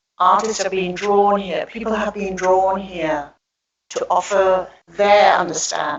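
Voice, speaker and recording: This is a normal speaking voice at a fairly slow pace. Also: woman. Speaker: public speaker on goddess spirituality. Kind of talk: talk with slides to an audience.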